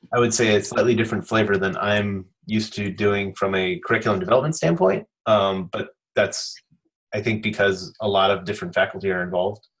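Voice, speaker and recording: A somewhat breathy man's voice at a fairly low pitch against a quiet background. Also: ordinary pitch variation. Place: home room. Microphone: video call.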